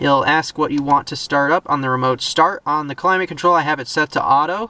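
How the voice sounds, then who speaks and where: A man talks at a fairly quick pace with a fairly high pitch and ordinary pitch variation. Noticeable background noise runs underneath. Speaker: car reviewer YouTuber. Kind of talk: car review walkthrough. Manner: fast; casual, with fillers.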